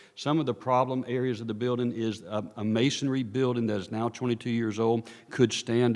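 At a fairly quick pace, a man with a North Carolina accent speaks in a monotone, flat intonation. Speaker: architect consultant presenting a study. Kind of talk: presentation to town council. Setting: town council meeting.

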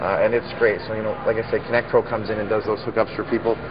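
A man at a very fast pace over noticeable background noise. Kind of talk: interview answer. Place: shop. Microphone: lapel.

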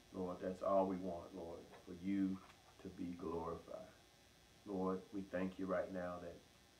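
Over light background noise, a man speaks fairly slowly in a very deep, low, monotone voice with flat intonation. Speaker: pastor. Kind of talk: prayer. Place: church. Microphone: camera far.

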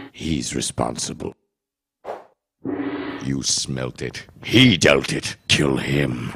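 A man does a cartoonish character voice with a very deep, low pitch. He speaks at a very slow pace with long, frequent pauses. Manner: menacing, commanding.

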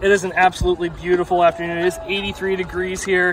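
Crowd noise behind a man's high-pitched voice in an American accent, moderate pace, ordinary pitch variation, and a dry sound with no echo. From US Mid-Atlantic. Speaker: high school sports commentator. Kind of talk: live commentary. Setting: outdoors. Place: stadium.

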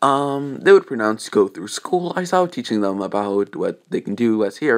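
An unforced reading voice. It is heard throughout.

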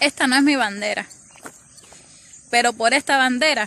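Here a woman talks at a fairly slow pace with ordinary pitch variation. The sound is dry with no echo, over light background noise. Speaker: vlogger abroad on mission. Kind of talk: casual vlog chat. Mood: earnest, patriotic, nostalgic. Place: open country. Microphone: phone near.

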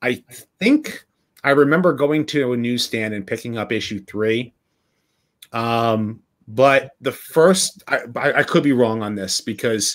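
A man speaks fairly slowly and with ordinary pitch variation, and the background is quiet. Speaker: interview guest. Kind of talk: interview answer. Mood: nostalgic, friendly. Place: home room.

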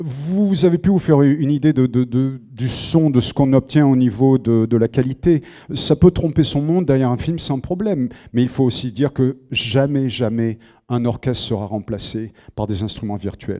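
A man with a dark, mellow tone talks at a moderate pace, his pitch varying in an ordinary way against a quiet background. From southern France. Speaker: film composer. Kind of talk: lecture. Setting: auditorium with audience. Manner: halting. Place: hall. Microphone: handheld.

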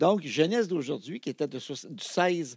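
A man is speaking against a quiet background. The sound is dry with no echo. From Quebec. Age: 60s. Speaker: television archivist and radio host; radio host. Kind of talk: casual interview chat. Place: studio. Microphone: studio mic.

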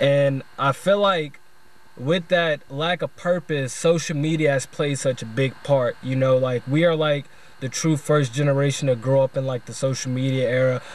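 Dry with no echo, the clip has a man talking at a moderate pace with fairly even intonation. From US South, Louisiana. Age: 20s. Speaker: video essayist. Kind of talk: video essay monologue. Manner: casual, slangy. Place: car. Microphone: phone near.

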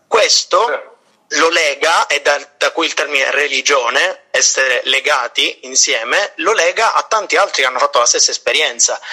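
Keeping his loudness very even, a man talks at a moderate pace. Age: 20s. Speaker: prenovice in a religious order. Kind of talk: casual chat.

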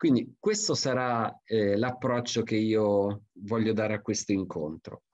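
At a fairly slow pace with hardly any pauses, an ordinary speaking voice with ordinary pitch variation comes through a dry sound with no echo against a quiet background. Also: man, medium pitch for a man. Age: 50s. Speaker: forester; presenter. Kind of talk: lecture. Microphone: video call.

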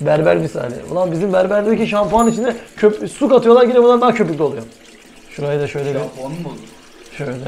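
In an animated tone with lively intonation, a man talks at a very fast pace and a high pitch over light background noise. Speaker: vlogger. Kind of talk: casual vlog talk.

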